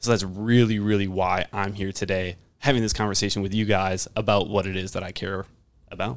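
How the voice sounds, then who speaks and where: An American accent marks this man's fairly low, fairly quick delivery in an ordinary speaking voice with fairly even intonation, on a very clean recording with a silent background. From Wisconsin, Washington County. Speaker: fitness and nutrition coach. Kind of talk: casual interview chat.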